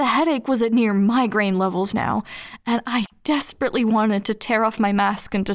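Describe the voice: Here we have plain reading aloud.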